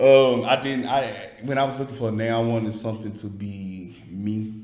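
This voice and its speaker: Speaking in a Southern US accent, a man has a medium pitch and fairly even intonation, with audible room echo around him. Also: moderate pace. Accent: Southern country. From Alabama, US South. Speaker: food content creator. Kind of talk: casual interview chat.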